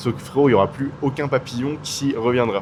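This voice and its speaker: Noticeable background noise can be heard. The talking goes at a fairly quick pace. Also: man. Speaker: YouTuber. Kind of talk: casual vlog talk. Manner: loud; casual, hesitant with fillers.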